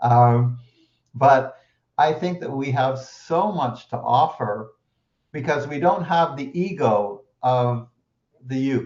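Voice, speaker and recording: At a very slow pace with long, frequent pauses, a man speaks in a somewhat breathy voice of medium pitch and ordinary variation. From Quebec, Canada. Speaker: interviewer. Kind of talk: interview. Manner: halting, many repetitions.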